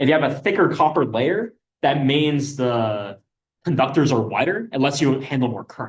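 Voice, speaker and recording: A man speaks with lively intonation and a fairly high pitch. His voice is somewhat breathy. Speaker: student workshop instructor. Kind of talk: lecture. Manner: fast.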